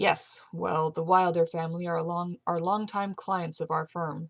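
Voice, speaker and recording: A put-on character voice at middle pitch moves along at a moderate pace. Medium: read story. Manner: polite, dry.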